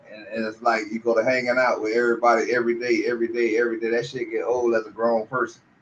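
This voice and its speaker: A man with an American accent talks at a very fast pace with hardly any pauses, his medium-pitched voice monotone and flat. Noticeable background noise can be heard. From Miami, Florida. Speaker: YouTube channel host. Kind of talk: casual chat. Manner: stammering repetitions.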